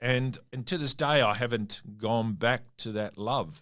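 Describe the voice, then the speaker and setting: On a very clean recording with a silent background, a man with an Australian accent speaks fairly slowly at medium pitch with ordinary pitch variation. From Western Australia (Perth), Italian family. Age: 60s. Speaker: mining company CEO. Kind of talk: interview. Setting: studio.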